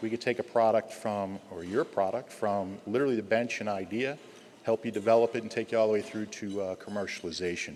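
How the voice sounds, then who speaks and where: A man with a New Jersey accent, fairly low in pitch, talking at a fairly quick pace with fairly even intonation. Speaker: pharmaceutical company executive. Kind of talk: speaker introduction. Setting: stage with audience. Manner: halting.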